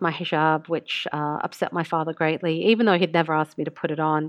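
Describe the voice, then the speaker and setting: Speaking very fast with an Australian accent, a woman uses a fairly low voice. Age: 40s. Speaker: international news correspondent. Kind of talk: casual interview.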